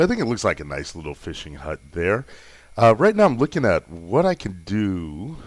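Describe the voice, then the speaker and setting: Moderately paced speech from a man on a very clean recording against a silent background. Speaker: gaming video creator. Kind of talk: gameplay commentary. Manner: casual, hesitant.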